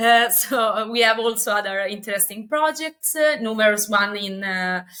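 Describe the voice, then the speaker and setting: A woman speaks at a moderate pace with a bright, sharp tone and an Italian accent. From Italy. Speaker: company representative. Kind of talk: interview. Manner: halting, many fillers.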